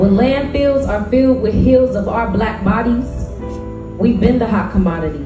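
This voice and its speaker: Clear music plays in the background, and audible room echo surrounds the voice. A woman speaks at a fairly slow pace. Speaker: spoken word poet. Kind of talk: spoken word poetry performance. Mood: intense, impassioned. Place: stage.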